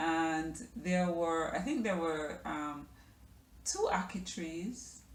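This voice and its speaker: A woman speaks at a very slow pace and a fairly low pitch. Audible room echo surrounds her voice. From Jamaica, Kingston. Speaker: lifestyle vlogger. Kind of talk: personal storytelling vlog. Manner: hesitant, many fillers.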